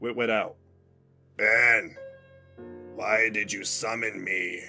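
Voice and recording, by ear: A man puts on a raspy character voice and speaks at a very slow pace while faint music plays in the background.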